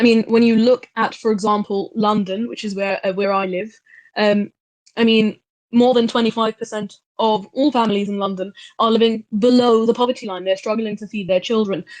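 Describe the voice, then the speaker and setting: A woman with an English accent speaks at a fairly quick pace and fairly high pitch. Her intonation is fairly even, and the sound is dry and close with no echo. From England. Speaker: speaker in online discussion. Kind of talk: group discussion contribution.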